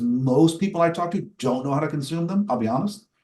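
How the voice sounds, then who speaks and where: A man with ordinary pitch variation talks in a somewhat breathy voice. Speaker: cyber risk software vendor presenter. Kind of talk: webinar product demo and Q&A. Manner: fast.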